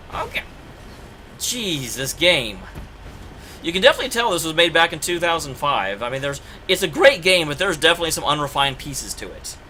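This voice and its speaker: A man with an American accent talks at a very fast pace and a high pitch, with lively intonation and big swings in loudness. He takes long, frequent pauses, and background noise is noticeable. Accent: Oklahoma accent, slight, creeps in at times. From Oklahoma, US (Tulsa). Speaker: video game streamer. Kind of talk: casual live-stream commentary. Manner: animated, chatty.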